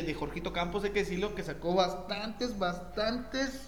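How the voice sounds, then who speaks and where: A man with a Mexican accent talks at a fairly slow pace. Noticeable background noise and audible room echo surround him. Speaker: football podcast host. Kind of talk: casual chat.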